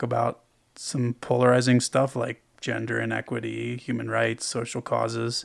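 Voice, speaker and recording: At a moderate pace, a man speaks at medium pitch in a normal speaking voice. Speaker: podcast host. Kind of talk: podcast interview.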